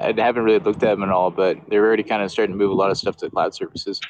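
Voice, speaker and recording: A man with a fairly low pitch speaks at a very fast pace. Noticeable background noise runs behind him. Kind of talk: casual chat.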